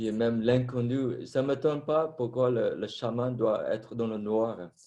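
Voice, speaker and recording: A man speaks at a very slow pace with a non-native accent. His medium-pitched voice has a dark, mellow tone and ordinary pitch variation. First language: not French (French is fourth language) (speaking French). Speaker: former Buddhist monk, meditation teacher. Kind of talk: panel discussion.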